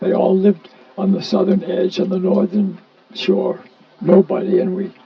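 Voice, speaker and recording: A man with a high voice against noticeable background noise. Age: 80s+. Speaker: early member of a countercultural gathering. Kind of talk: storytelling.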